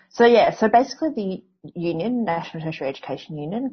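This somewhat breathy voice with an Australian accent moves at a fairly quick pace and swings very widely in pitch. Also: woman. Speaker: historian and university academic. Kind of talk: interview. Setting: phone or video call.

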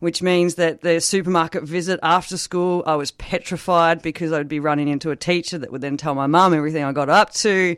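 With an Australian accent, a woman speaks at a fairly quick pace with hardly any pauses, using a fairly low pitch and fairly even intonation on a very clean recording with a silent background. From rural northeast Victoria, Australia. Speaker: recovering alcoholic sharing recovery story. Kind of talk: interview testimony.

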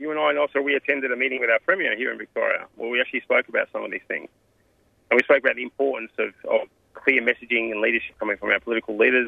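Speaking at a very fast pace, a man has an Australian accent. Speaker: community organisation president. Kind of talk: interview.

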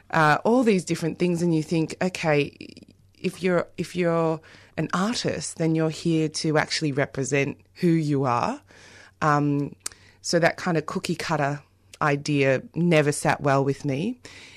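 In an Australian accent, a woman speaks at a very deep, low pitch with ordinary pitch variation. Her pace is fairly slow, and the background is quiet. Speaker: playwright and theatre director. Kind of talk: radio interview.

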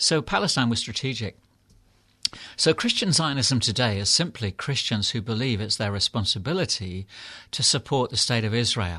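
In a quiet background, a man with a British accent speaks at a moderate pace and medium pitch with lively intonation. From England. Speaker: clergyman and author. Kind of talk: interview. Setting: studio.

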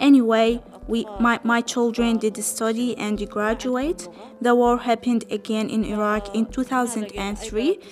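Over noticeable background noise, a woman with an Arabic accent speaks at a fairly slow pace with a fairly high pitch and fairly even intonation. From Palestine. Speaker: refugee. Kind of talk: testimony. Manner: halting.

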